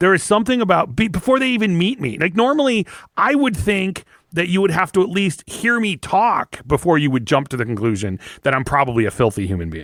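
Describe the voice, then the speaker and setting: A man speaks loudly in a high pitch with very wide pitch swings. His pace is fairly quick. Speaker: podcast co-host. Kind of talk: casual chat.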